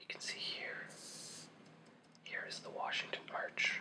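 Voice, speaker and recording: A man is whispering at a moderate pace. Noticeable background noise is present. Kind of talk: ASMR history explainer. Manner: whispered, soft.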